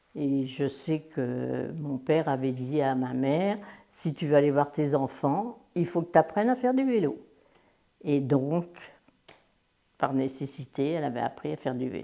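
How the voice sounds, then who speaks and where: In a very clean recording with a silent background, a woman with a very deep, low voice speaks fairly slowly, with ordinary pitch variation and big swings in loudness. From France, Le Mans (Sarthe). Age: 80s+. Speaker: war witness. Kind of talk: testimony. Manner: hesitant, with many fillers.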